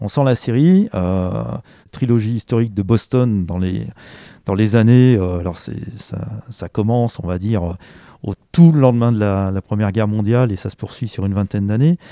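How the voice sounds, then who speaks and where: A man with fairly low pitch has a dark, mellow tone and ordinary pitch variation. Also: moderate pace. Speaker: bookseller. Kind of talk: interview, casual talk. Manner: hesitant, halting, repeats words.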